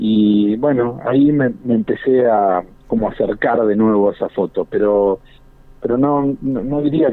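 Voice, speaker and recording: Ordinary pitch variation in a man's speech. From Argentina. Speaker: photojournalist. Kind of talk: interview. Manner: halting.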